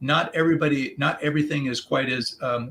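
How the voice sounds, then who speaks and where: With fairly even intonation, a man speaks at a medium pitch in a bright, sharp tone. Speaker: executive coach. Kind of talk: podcast interview. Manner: fast; halting, many fillers and repetitions.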